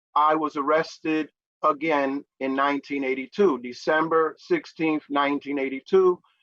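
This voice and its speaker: A man with a New York accent speaks at a fairly slow pace in a bright, sharp tone at a fairly high pitch, with a dry, close sound and no echo. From New York City (Manhattan). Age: 60s. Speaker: peer recovery advocate. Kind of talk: interview. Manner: frequent fillers (uh, um).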